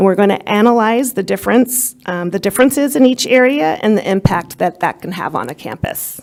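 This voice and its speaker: In a normal speaking voice, a woman talks at a medium pitch with lively intonation. Her pace is fairly quick, with hardly any pauses. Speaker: school district administrator. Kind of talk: presentation to a school board. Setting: board meeting.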